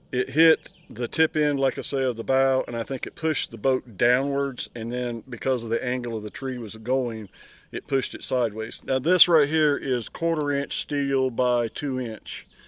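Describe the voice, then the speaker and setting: A man's medium-pitched voice at a moderate pace, with fairly even intonation and a dry, close sound with no echo. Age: 60s. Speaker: private boat seller. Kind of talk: casual walkthrough video of item for sale. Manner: halting, many fillers.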